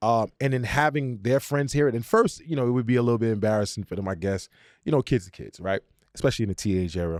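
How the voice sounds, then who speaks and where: A man speaks with a Brooklyn accent in an animated tone. His pace is very fast. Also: medium pitch for a man, ordinary pitch variation, very clean recording, silent background. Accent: New York (Brooklyn). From Brooklyn, New York (East New York). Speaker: musician and producer. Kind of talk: casual chat.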